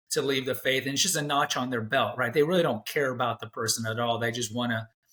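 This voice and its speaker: This is a man with a plain, everyday voice at medium pitch. He talks at a fairly quick pace with fairly even intonation. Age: 40s. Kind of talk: interview conversation.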